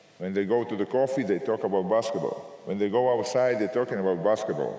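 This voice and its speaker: The speech moves at a very fast pace with ordinary pitch variation while noticeable background noise is heard. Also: man, medium pitch for a man, hardly any pauses. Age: 60s. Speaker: basketball coach. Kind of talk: Q&A answer; lecture. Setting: coaching clinic with audience.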